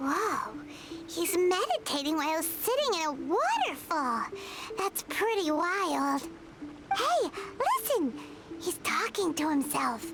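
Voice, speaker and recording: Over loud background noise, a squeaky put-on character voice at an extremely high pitch moves at a fairly slow pace with long, frequent pauses. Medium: video game. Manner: bright, curious.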